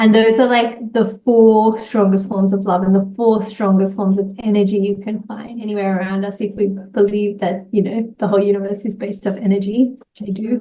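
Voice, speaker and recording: A woman's somewhat breathy, medium-pitched voice at a moderate pace, with monotone, flat intonation. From Australia, Sydney. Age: 30s. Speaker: entrepreneur and social media creator. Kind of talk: interview conversation.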